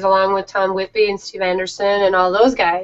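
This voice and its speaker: A woman speaking at a very fast pace over noticeable background noise. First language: Danish. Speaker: teacher and author. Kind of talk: interview.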